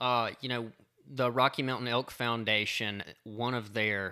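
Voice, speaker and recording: Using a bright, sharp tone, a man with a Southern US accent speaks at a fairly slow pace with fairly even intonation. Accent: Southern US (Georgia). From South Georgia, US. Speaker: law student and hunter. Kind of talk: casual chat.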